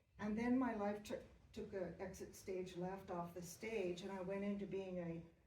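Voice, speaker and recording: A woman speaks at a medium pitch in a flat monotone. Audible echo from the room surrounds her voice. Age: 70s. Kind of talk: audience question at a panel talk.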